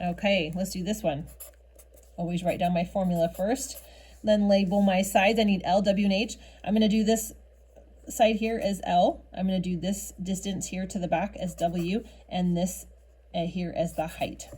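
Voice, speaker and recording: Her voice has a dark, mellow tone with vocal fry, and this woman speaks at a medium pitch with fairly even intonation. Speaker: math teacher. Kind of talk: tutorial. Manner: fast.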